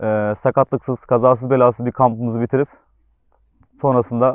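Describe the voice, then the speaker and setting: A medium-pitched man speaks at a very fast pace with fairly even intonation. The sound is dry and close with no echo, against a quiet background. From Turkey, Antalya. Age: 20s. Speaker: footballer. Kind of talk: promotional interview statement. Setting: on camera.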